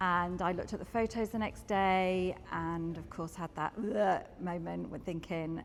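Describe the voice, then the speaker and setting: Music plays in the background as a woman speaks at a medium pitch. Her pace is moderate, and her pitch variation is ordinary. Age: 50s. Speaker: gym member. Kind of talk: interview testimony.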